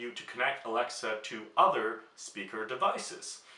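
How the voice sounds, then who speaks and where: A man's voice over noticeable background noise. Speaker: YouTuber. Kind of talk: product demo vlog. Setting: at home.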